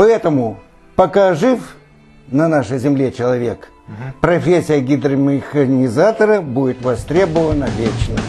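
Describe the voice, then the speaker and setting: Faint music plays behind a man whose fairly high voice has lively intonation, moving at a fairly slow pace with long, frequent pauses. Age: 70s. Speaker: amateur poet. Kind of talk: poetry reading. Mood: calm, proud, earnest. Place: home room. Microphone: lapel.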